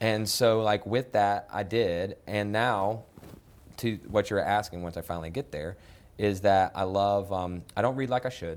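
A man talks at a fairly slow pace with an American accent. His fairly low pitch varies in an ordinary way, in a normal speaking voice. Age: 30s. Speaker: nonprofit executive director. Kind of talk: interview.

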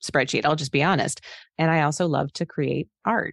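A woman's very deep, low voice at a moderate pace, fairly even in intonation, dry and close with no echo, over a quiet background. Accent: American. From Arizona (Phoenix). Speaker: financial planner and business founder. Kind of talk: interview.

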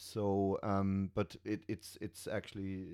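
Recorded very cleanly against a silent background, a man with a fairly low pitch and a dark, mellow tone speaks at a fairly slow pace. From Germany. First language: German. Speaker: metal musician and stage technician. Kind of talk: casual chat. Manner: halting.

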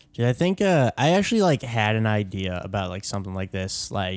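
With lively intonation and a fairly quick pace, a man of fairly low pitch speaks on a very clean recording with a silent background. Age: 20s. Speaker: comedian. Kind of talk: casual chat. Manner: halting.

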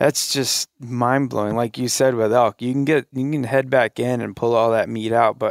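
In an American accent, a man of medium pitch speaks with monotone, flat intonation in a dry, close sound with no echo. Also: very clean recording, silent background. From South Carolina. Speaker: deer hunter. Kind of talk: casual chat. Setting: hunting camp.

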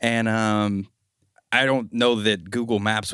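A man speaks in a plain, everyday voice at a fairly slow pace, with medium pitch and fairly even intonation. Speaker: podcast host. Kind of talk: casual chat. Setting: studio.

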